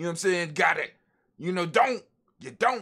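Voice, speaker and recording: A man is speaking. His tone is bright and sharp. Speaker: podcast host. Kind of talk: conscious-community rant. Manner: casual, emphatic.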